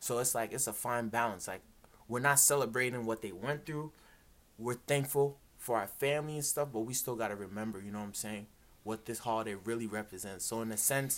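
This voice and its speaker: Here a man with an American accent speaks at a medium pitch. His pace is fairly quick. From Chicago and Worcester, Massachusetts. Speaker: podcast host. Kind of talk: casual chat. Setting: at family home. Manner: animated.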